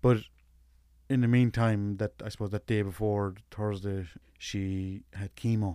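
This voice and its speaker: The voice has a dark, mellow tone and monotone, flat intonation. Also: man. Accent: Limerick. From West Limerick, Ireland. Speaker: widowed single dad, interviewee. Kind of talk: casual interview, personal conversation. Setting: studio.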